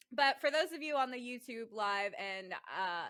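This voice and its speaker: Her American accent comes with a bright, sharp tone, as this woman speaks at a moderate pace with lively intonation. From California. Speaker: podcast host. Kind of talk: casual chat. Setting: video call.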